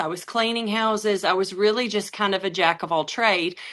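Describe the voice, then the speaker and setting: Woman with an Alabama accent, fairly high pitch and a bright, sharp tone, moderate pace, ordinary pitch variation, against a quiet background. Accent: Southern US (Alabama). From US South. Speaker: network marketing presenter. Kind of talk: sales pitch.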